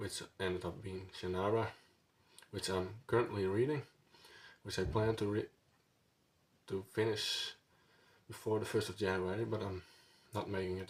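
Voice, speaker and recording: A man with a fairly low pitch and a Dutch accent speaks in a somewhat breathy voice at a moderate pace, with long, frequent pauses. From Netherlands. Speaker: book vlogger. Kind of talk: casual vlog monologue. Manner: halting, many fillers.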